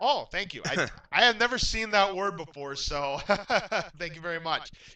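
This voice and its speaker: A raised, projected voice with a bright, sharp tone moves at a moderate pace with lively intonation. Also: man, high pitch for a man. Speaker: game show host. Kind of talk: game show hosting.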